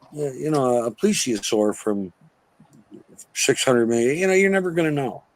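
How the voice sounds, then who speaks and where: With very wide pitch swings at a medium pitch, a man speaks at a moderate pace, leaving long, frequent pauses. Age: 60s. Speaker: actor and filmmaker, podcast guest. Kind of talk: casual chat. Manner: animated.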